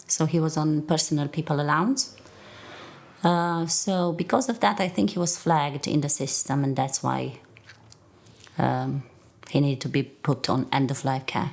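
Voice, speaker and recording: A woman with a Romanian accent speaks at a very deep, low pitch. Her pace is moderate, with ordinary pitch variation. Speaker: nurse. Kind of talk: testimony.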